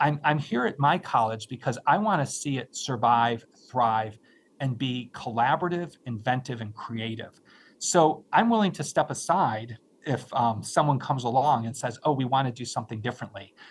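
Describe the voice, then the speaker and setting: Somewhat breathy, a man speaks at medium pitch and a moderate pace with ordinary pitch variation. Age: 60s. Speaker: nonprofit finance expert and college leader. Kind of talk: live webinar interview. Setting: live online stream.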